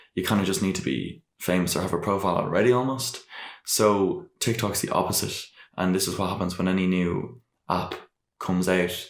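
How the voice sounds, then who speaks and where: A man with an Irish accent speaks at a fairly quick pace in a very deep, low voice with ordinary pitch variation. The recording is very clean, with a silent background. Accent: noticeable Irish. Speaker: podcast guest, rapper and vlogger. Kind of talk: casual interview chat. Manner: hesitant, many fillers and restarts.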